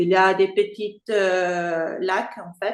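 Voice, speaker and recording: With an Italian accent, a woman speaks at a medium pitch. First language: Italian (speaking French). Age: 40s. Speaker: freediver. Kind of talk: interview. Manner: halting.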